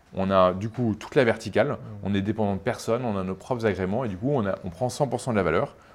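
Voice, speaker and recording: Very fast talk from a man at a fairly low pitch, ordinary in its pitch variation. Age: 30s. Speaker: startup CEO and co-founder. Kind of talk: interview.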